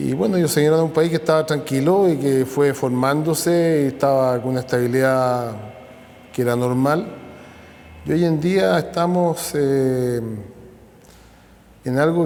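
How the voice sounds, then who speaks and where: In a room with audible echo, a man with a fairly high pitch and ordinary pitch variation speaks fairly slowly with long, frequent pauses. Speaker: descendant of immigrants. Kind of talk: documentary interview testimony.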